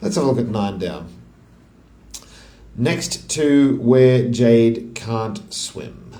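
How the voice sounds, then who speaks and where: The speaker has an Australian accent. Noticeable background noise and audible room echo are present. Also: man. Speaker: crossword solver. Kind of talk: casual think-aloud puzzle solving. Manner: halting, thinking aloud.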